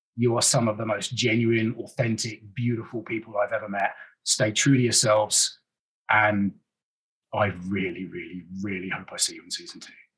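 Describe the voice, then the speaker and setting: Speaking with a British accent, a man uses medium pitch and fairly even intonation, with big swings in loudness. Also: moderate pace. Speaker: actor. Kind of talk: interview, casual chat.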